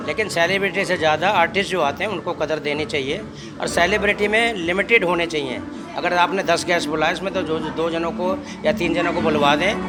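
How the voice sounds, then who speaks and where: A man's high-pitched voice at a moderate pace with ordinary pitch variation, audible room echo and crowd noise in the background. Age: 70s. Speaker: retired officer, amateur singer. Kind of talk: interview. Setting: music event in a studio venue.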